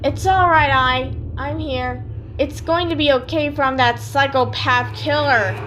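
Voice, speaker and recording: A woman's put-on character voice over clear background noise. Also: fairly slow pace. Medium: audio drama.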